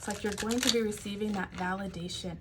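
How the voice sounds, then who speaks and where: The intonation is monotone and flat, with noticeable background noise and audible room echo. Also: woman. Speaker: tarot reader and life coach. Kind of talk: tarot reading.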